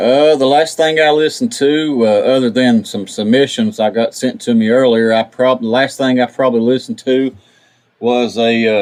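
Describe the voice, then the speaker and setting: This man speaks with an Appalachian accent. His pitch varies in an ordinary way. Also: medium pitch for a man, moderate pace. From West Virginia. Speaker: podcast radio host. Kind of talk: casual interview.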